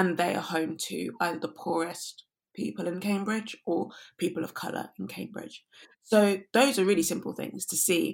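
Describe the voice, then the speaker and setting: A woman's medium-pitched voice with vocal fry, ordinary pitch variation and a moderate pace. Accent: London. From London. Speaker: climate activist and researcher. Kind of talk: interview conversation.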